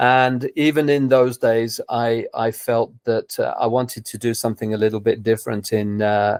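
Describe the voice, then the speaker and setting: With hardly any pauses, a man speaks at a moderate pace in a southern English accent with monotone, flat intonation, the sound dry and close with no echo on a very clean recording with a silent background. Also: medium pitch for a man. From England, London. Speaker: tennis coach. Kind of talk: interview. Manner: hesitant, repeats words.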